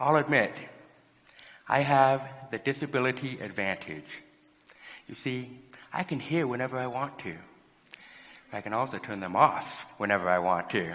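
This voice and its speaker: Long, frequent pauses break up a man's moderate pace. His medium-pitched voice has a bright, sharp tone, vocal fry and lively intonation. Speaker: motivational speaker. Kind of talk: motivational talk.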